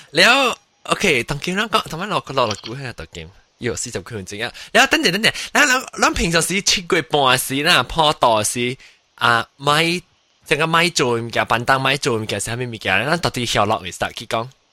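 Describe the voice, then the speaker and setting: Bright and sharp in tone, a man's fairly high voice sounds animated and makes very wide pitch swings in a very clean recording with a silent background. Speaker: podcast host. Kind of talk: casual chat.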